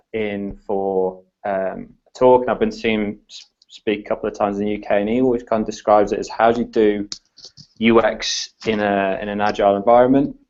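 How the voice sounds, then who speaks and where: A man with an English accent speaks at a moderate pace and medium pitch. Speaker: design consultant. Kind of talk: podcast interview. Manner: hesitant, many fillers.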